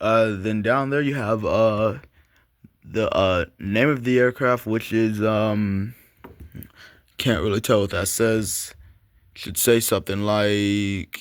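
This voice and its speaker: On a very clean recording with a silent background, a man speaks at a very slow pace with fairly low pitch and fairly even intonation. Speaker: model aircraft collector YouTuber. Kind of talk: unboxing review video. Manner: hesitant with many fillers.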